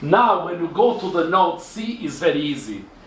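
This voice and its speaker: A man talks at a fairly slow pace with a high pitch and lively intonation. Audible room echo and noticeable background noise accompany him. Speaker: engineering lecturer. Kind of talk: tutorial.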